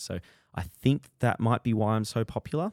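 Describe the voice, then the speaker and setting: In a very clean recording with a silent background and a dry, close sound without echo, a man with an Australian accent talks at a moderate pace. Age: 20s. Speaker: running influencer and podcast host. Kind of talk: solo casual monologue.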